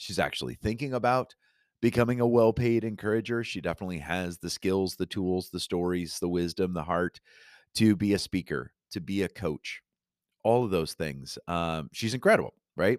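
A quiet male voice, very deep and low, warm and upbeat in tone, dry and close with no echo, on a very clean recording with a silent background. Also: ordinary pitch variation, moderate pace. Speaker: podcast host. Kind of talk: solo podcast monologue. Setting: home studio. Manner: quieter, warm and upbeat.

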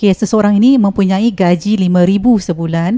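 The voice has a dark, mellow tone with ordinary pitch variation and a moderate pace, sounding dry and close with no echo. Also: woman. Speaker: property consultant. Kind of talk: sponsored segment explainer.

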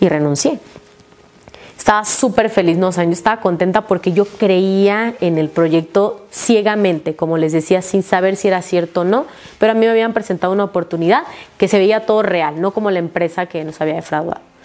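Noticeable background noise sits under a woman's voice. She talks at a medium pitch and fairly quick pace with ordinary pitch variation. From Mexico, Tabasco. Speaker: network marketing leader. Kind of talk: testimony.

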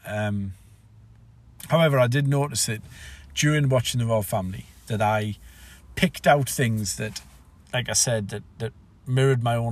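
A man with a somewhat breathy voice at medium pitch talks at a fairly quick pace with ordinary pitch variation and long, frequent pauses. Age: 40s. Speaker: podcaster. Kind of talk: solo reflective monologue. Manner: halting.

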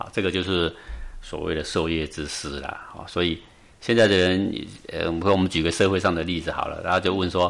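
A man speaks fairly quickly in a very deep, low voice with flat, monotone intonation. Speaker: meditation teacher. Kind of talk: interview.

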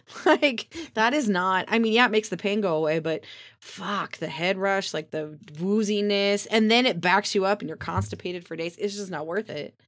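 At a moderate pace, a woman talks in an ordinary speaking voice at medium pitch, with ordinary pitch variation. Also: hardly any pauses. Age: 40s. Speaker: podcast co-host. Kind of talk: casual chat.

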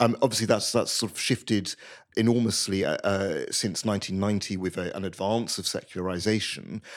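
In a British accent, a man with a fairly low pitch speaks at a fairly quick pace with fairly even intonation, on a very clean recording with a silent background. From Britain. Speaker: journalist and former priest. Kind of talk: interview. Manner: halting.

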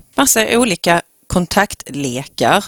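A woman with medium pitch and lively intonation is heard in a dry, close sound with no echo. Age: 40s. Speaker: school principal, podcast co-host. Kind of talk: casual chat. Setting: studio.

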